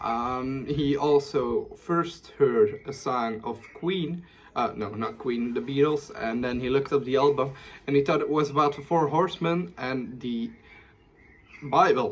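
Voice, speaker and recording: A man with a fairly high voice speaks at a fairly slow pace with ordinary pitch variation. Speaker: YouTuber. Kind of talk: informal video presentation. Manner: halting, frequent fillers and self-corrections.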